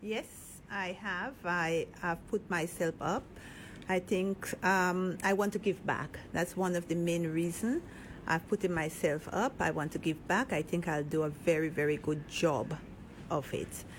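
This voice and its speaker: A soft-spoken woman at a fairly slow pace, fairly low in pitch, with ordinary pitch variation. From Grenada. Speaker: political candidate and business owner. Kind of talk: radio interview.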